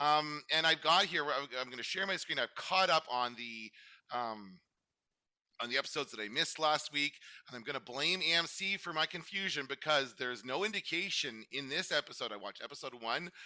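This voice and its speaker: With a bright, sharp tone and lively intonation, a man speaks at a fairly quick pace. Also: fairly high pitch for a man. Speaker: podcast host. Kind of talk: casual chat. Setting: video call with screen share. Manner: halting, many fillers.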